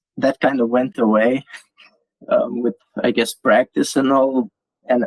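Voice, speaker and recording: The sound is dry and close, with no echo. Speech comes at a fairly slow pace with fairly even intonation. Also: man. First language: not English. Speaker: crypto community writer. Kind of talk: interview. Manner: halting, many repeated words.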